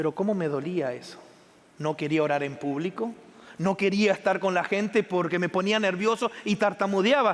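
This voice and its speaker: The intonation is lively and the pace moderate. Long pauses come often. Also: man. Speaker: pastor. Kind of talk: sermon.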